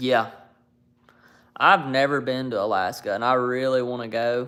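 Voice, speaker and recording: A man with an Alabama accent, medium pitch, and fairly even intonation on a very clean recording with a silent background. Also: moderate pace. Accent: Southern US (Alabama). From US South, North Alabama. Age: 20s. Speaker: YouTuber live streamer. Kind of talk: casual chat.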